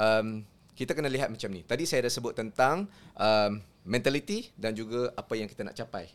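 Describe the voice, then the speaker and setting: A man with a normal speaking voice talks at a moderate pace and a medium pitch. His pitch varies in an ordinary way, while his loudness swings widely. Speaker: sports psychology lecturer. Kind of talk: explanatory discussion.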